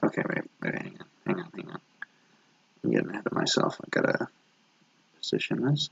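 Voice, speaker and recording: A man speaks quietly at a fairly quick pace, with long, frequent pauses and big swings in loudness. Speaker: animator streaming his drawing work. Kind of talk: casual live stream commentary. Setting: live stream at home late at night. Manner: talking very quietly; subdued, holding back energy.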